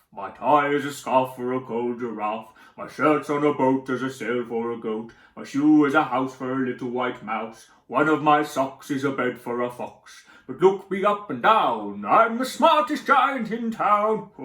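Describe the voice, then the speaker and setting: Moderate pace in a put-on character voice. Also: man, medium pitch for a man. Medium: read story. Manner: cheerful, warm.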